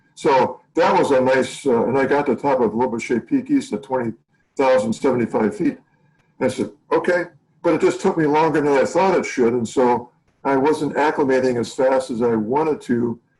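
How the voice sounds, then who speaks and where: With music in the background, a man with an American accent speaks at a fairly high pitch and very even loudness. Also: ordinary pitch variation, moderate pace. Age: 60s. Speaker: mountaineer, Everest climber and documentary subject. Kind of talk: interview answer.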